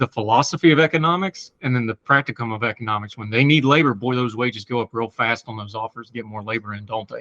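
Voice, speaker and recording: An American-accented voice races along at a very fast pace with a bright, sharp tone and ordinary pitch variation. Loudness swings widely, and the sound is dry and close with no echo. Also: man, medium pitch for a man. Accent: hillbilly. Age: 40s. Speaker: podcast host. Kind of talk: interview.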